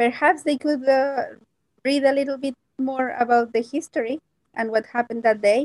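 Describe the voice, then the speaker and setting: Speaking at a moderate pace with a Mexican accent, a woman uses a high pitch and fairly even intonation in a dry, close recording with no echo. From Mexico, Puebla. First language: Spanish. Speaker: Spanish teacher. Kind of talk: interview. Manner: halting.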